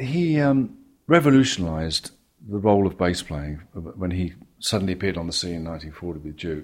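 At a moderate pace, a man with an English accent talks in a very deep, low pitch with lively intonation. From England. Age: 70s. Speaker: jazz bassist. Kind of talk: interview.

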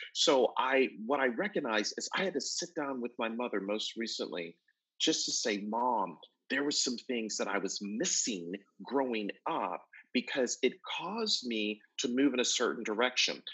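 A man with an American accent speaks in an unremarkable speaking voice at medium pitch, with lively intonation and a moderate pace. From Buffalo, New York. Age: 50s. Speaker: motivational speaker and author. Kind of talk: interview, motivational talk.

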